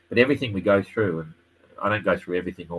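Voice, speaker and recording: Here a man talks in an Australian accent, fairly low in pitch for a man. His intonation stays fairly even, with light background noise behind him. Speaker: sailing race commentator. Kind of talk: live stream tutorial and chat. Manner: fast. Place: home room. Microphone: webcam.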